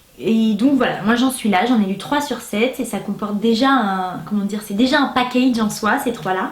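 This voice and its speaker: Over noticeable background noise, a woman with a fairly high pitch talks at a moderate pace with ordinary pitch variation and hardly any pauses. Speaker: booktuber. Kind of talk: casual vlog review. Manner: animated.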